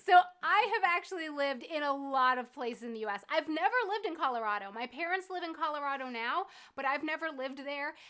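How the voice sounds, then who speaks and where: A woman's raised, projected voice at a high pitch, very fast pace and lively intonation. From US East Coast (New England and South Florida). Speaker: YouTuber. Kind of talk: casual chat. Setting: livestream from living room.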